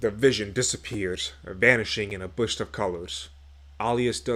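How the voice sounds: The voice reads naturally. Its pitch moves up and down in an ordinary way.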